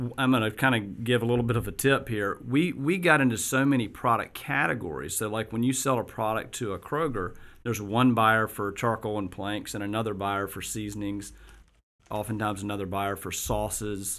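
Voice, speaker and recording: A man with a plain, everyday voice and an American accent, fairly low pitch, ordinary pitch variation and a fairly quick pace, on a very clean recording with a silent background. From US South, Augusta, Georgia. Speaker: business founder and CEO. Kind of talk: interview. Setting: studio.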